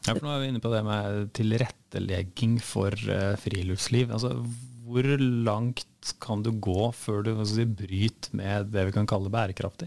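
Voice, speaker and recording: Speaking in a plain, everyday voice, a man talks at a fairly slow pace with hardly any pauses, a fairly low pitch, and fairly even intonation. The recording is very clean, with a silent background. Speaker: podcast host. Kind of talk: interview.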